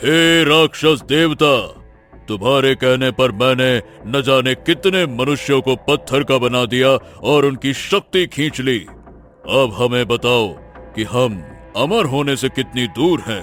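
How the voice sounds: A man uses a cartoonish character voice at medium pitch and a fairly slow pace. Clear music plays in the background.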